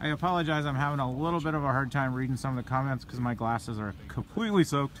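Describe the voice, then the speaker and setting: Over noticeable background noise, the speech moves at a very fast pace with ordinary pitch variation and a dry sound with no echo. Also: man. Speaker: police officer hosting a livestream. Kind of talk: live commentary answering viewer questions. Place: boat. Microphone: phone near.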